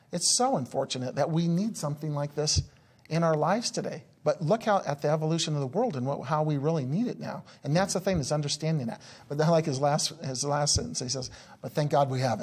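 A man rattles along at a very fast pace with a fairly high pitch. His voice is somewhat breathy, with ordinary pitch variation. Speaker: business coach. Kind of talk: interview. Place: studio.

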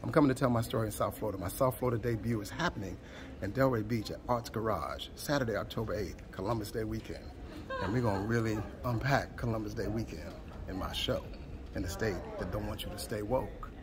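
Very fast speech over noticeable background noise. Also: man, medium pitch for a man, ordinary pitch variation. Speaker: performance poet. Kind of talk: spoken word poetry event promo. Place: stage. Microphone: phone near.

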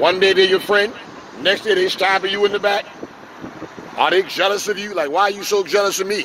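A man with a New York accent and high pitch talks at a fairly quick pace with long, frequent pauses, a dry sound with no echo, and noticeable background noise. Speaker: street preacher and pastor; street preacher, pastor. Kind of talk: sermon. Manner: animated. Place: street. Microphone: handheld.

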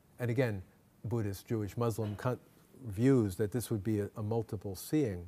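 Somewhat breathy and dark, mellow in tone, a man's fairly low voice moves at a moderate pace with fairly even intonation and long, frequent pauses. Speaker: Jesuit priest and professor of comparative theology; Jesuit priest, professor of comparative theology. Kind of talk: lecture. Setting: lecture hall with audience. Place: hall. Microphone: podium.

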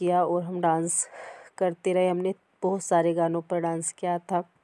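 Speaking at a very slow pace in a monotone, flat way, a woman's fairly low voice sounds dry and close with no echo. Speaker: vlogger. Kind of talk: casual vlog talk.

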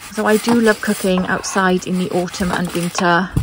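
A woman's monotone, flat delivery with a dry sound and no echo, over noticeable background noise. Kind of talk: casual cooking commentary. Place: garden. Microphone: phone near.

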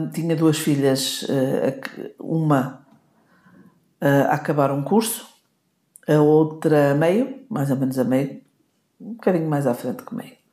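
A woman with a very deep, low pitch and a dark, mellow tone speaks very slowly with lively intonation, big swings in loudness and long, frequent pauses. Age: 60s. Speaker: podcast co-host, wife of the host. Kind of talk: casual chat.

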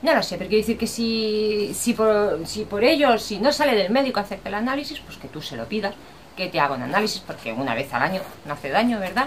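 A woman speaks at a very fast pace and medium pitch. Her pitch swings very widely over light background noise. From Spain. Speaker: vlogger. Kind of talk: casual vlog talk to camera. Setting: outdoors. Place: home room. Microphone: webcam.

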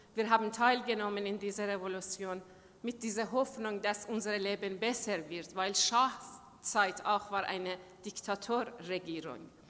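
A woman speaks with a Persian accent. Her pace is fairly slow and her intonation fairly even. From Iran. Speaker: human rights activist. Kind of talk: speech. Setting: stage with audience. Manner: halting. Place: hall. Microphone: podium.

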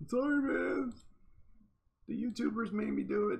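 A put-on character voice from a man, moderately paced and high-pitched. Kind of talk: casual, jokey. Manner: apologetic, sheepish.

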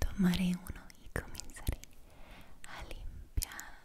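Whispering and soft-spoken, a woman speaks at a very slow pace over light background noise. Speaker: ASMR creator. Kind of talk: soft ASMR role-play talk. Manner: soft intimate ASMR whisper. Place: home room.

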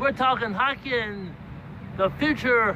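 Over noticeable background noise, a man speaks very slowly in a raised, projected voice with a dry sound and no echo. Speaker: amateur sports video blogger. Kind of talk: casual vlog commentary. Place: street. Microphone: phone near.

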